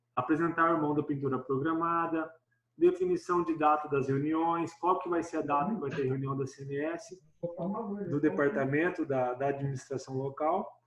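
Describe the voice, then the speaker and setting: A man's voice at a moderate pace. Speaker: church department coordinator. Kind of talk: online meeting presentation.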